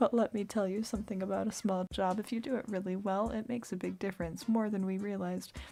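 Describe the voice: Fairly even intonation in plain reading aloud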